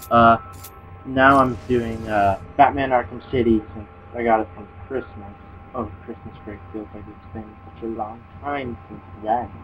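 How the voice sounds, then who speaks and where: Over music in the background, the speech moves at a fairly slow pace with fairly even intonation and big swings in loudness. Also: man, medium pitch for a man. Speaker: gameplay commentator. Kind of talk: casual video game commentary. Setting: home recording, volume fading in and out.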